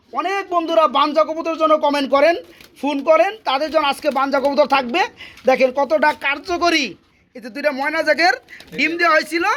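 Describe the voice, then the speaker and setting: This man's voice sits at an extremely high pitch. His intonation is fairly even. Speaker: pigeon vlogger visiting a farm. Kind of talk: vlog-style sales walkthrough. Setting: pigeon farm.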